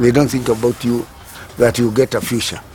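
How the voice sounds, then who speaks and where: A man's voice at a medium pitch, with noticeable background noise. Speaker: recycling cooperative founder. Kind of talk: interview testimony.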